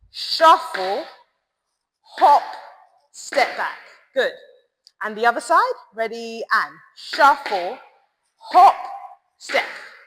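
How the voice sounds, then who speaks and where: Loud and high-pitched, a woman speaks at a very slow pace with long, frequent pauses and very wide pitch swings. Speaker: tap dance teacher. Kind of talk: tutorial. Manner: rhythmic counting.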